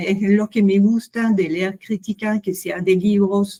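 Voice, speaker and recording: A woman speaks very slowly in a French accent at a medium pitch. Her dark, mellow, somewhat breathy voice stays monotone and flat. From France. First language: French (speaking Spanish). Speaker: literary critic, book club participant. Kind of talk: casual discussion. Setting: video call. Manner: halting.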